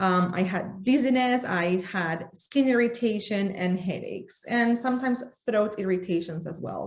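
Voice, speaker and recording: A woman with a Spanish accent and a fairly high pitch. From Argentina. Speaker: essential oils workshop presenter. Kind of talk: workshop presentation.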